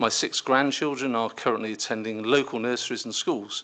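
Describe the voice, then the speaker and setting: A man speaks at a medium pitch and a fairly quick pace, his bright, sharp tone delivered in a monotone, flat intonation. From Cotswolds, England, then Cornwall from teens. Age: 60s. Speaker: council candidate, businessman. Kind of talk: prepared candidate statement. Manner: formal.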